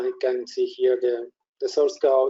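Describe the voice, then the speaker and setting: Speech comes at a fairly slow pace. It carries a Spanish accent. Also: man. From Spain. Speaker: software product specialist. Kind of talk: software demo tutorial. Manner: halting.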